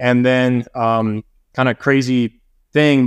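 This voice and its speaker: Against a quiet background, a man with an American accent talks in a normal speaking voice with fairly even intonation. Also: dry, close sound with no echo. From US South, Atlanta, Georgia. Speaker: private jet pilot and real estate investor. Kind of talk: casual interview chat.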